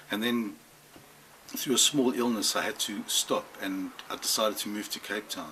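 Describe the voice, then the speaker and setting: Noticeable background noise accompanies a man speaking at a moderate speed. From South Africa, Johannesburg. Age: 50s. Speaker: record store owner. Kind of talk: interview. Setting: record store.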